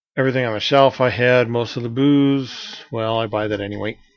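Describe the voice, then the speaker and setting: A soft-spoken man talks at a fairly quick pace. His medium pitch carries fairly even intonation. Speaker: amateur web show host and author. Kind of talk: casual vlog monologue. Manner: soft-spoken, hard to hear; hesitant, many fillers.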